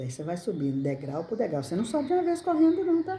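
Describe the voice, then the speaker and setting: Somewhat breathy speech from a woman, dark and mellow in tone. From Brazil, rural countryside. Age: 60s. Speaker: crafts channel owner. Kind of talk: casual personal talk to camera. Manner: halting, repetitive.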